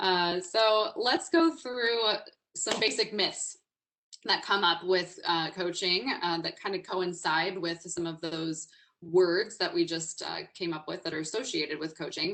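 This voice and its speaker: A woman's loud, medium-pitched voice with ordinary pitch variation, a bright, sharp tone and a fairly slow pace. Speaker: executive coach and webinar speaker. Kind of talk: webinar presentation. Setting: online webinar. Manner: energetic, informal.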